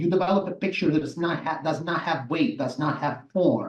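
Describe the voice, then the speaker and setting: This man has a high pitch. He speaks with an Italian accent. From southern Italy, Salerno. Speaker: massage therapist and movement educator. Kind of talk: interview. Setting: live show.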